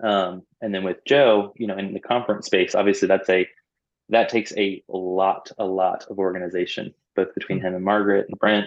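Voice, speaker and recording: A man with an American accent, fairly low in pitch, in a monotone, flat intonation at a fairly quick pace. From US South, Orlando, Florida. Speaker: youth ministry staff member. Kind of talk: casual interview.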